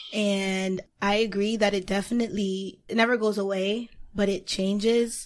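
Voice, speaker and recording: At a fairly slow pace, a woman with an unremarkable speaking voice talks at medium pitch with ordinary pitch variation. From Haiti, then Boston area. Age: 20s. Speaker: public relations professional and writer. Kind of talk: casual chat.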